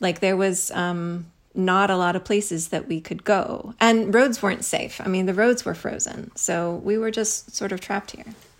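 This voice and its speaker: In a very clean recording with a silent background, a woman with a plain, everyday voice speaks at a fairly slow pace and medium pitch, with ordinary pitch variation. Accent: American. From US Midwest, Missouri. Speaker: author and professor. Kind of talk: casual chat.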